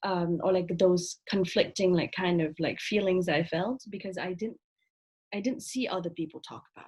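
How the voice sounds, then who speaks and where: A woman speaks in a somewhat breathy voice, her loudness swinging widely from soft to loud. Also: medium pitch for a woman, ordinary pitch variation, moderate pace. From Vietnam. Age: 20s. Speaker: author. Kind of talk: casual chat.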